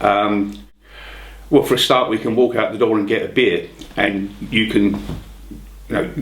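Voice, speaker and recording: A man speaks at a moderate pace in a London accent. Noticeable background noise and audible room echo are present. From London, England. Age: 60s. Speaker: retired car salesman. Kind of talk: interview answers. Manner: casual, humorous.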